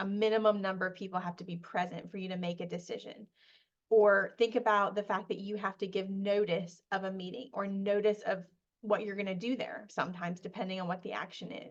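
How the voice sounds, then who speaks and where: A woman's medium-pitched voice at a fairly quick pace, with fairly even intonation. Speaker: parliamentary procedure trainer. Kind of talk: webinar presentation. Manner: fast.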